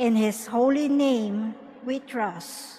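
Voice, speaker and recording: Room echo is audible as a woman speaks. Her pace is very slow, with ordinary pitch variation. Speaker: lector. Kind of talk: scripture reading aloud. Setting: cathedral.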